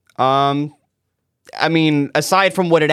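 Fairly high in pitch with ordinary pitch variation, the man has an unremarkable speaking voice. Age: 20s. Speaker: podcast co-host. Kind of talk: casual chat. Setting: studio.

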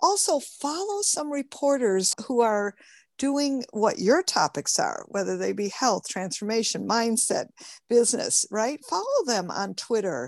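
In an American accent, a woman talks at a fairly slow pace. The sound is dry and close with no echo, over a quiet background. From Michigan, US. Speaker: publicity strategist and author. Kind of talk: interview, teaching tips. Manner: animated.

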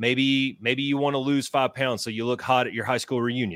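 In a plain, everyday voice, a man speaks fairly quickly at medium pitch, the sound dry and close with no echo, on a very clean recording with a silent background. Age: 40s. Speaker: retired air force veteran and author. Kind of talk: casual interview chat. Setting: live videocast.

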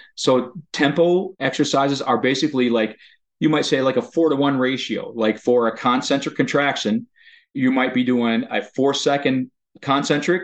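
This man has an unremarkable speaking voice at a medium pitch. He keeps a moderate pace with ordinary pitch variation. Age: 50s. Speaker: occupational therapist. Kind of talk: interview.

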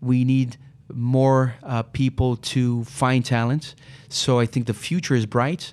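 Someone with a Portuguese accent speaks at a very slow pace with very even loudness. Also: man, medium pitch for a man. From Brazil, São Paulo. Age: 40s. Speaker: recruitment business CEO. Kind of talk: interview.

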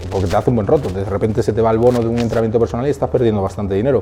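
A man speaks at medium pitch against noticeable background noise. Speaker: fitness entrepreneur. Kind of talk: interview.

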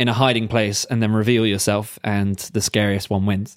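A man with a British accent, medium pitch, moderate pace and fairly even intonation, in a very clean recording with a silent background. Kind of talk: casual banter between friends, podcast. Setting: living in Germany, recording during lockdown.

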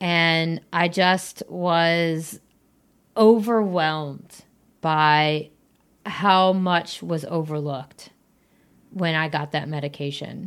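Very slowly and with long, frequent pauses, a woman with a fairly low pitch talks in fairly even intonation on a very clean recording with a silent background. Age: 30s. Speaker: podcast host. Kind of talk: casual interview.

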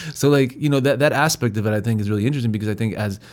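The recording of this man is very clean with a silent background. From Mexico, San Luis Potosi. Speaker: podcast host. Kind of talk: casual interview chat.

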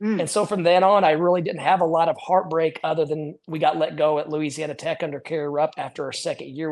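This speaker talks at a very fast pace with an American accent. The intonation is fairly even, with hardly any pauses. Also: man. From US Midwest. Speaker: college basketball head coach. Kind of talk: interview. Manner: repeats words, fast conversational.

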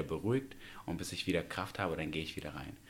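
A man speaks with a very deep, low pitch. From Uzbekistan, Tashkent. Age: 20s. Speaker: professional dancer. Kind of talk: casual interview.

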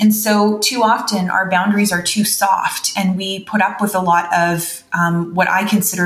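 A woman with a Canadian accent at a moderate pace, fairly even intonation, noticeable background noise and audible room echo. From Canada. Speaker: veterinarian and wellness educator. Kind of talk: interview.

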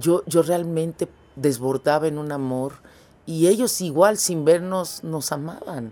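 A woman speaks at a very slow pace in a very deep, low voice with a dark, mellow tone and ordinary pitch variation. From Mexico. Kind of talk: interview.

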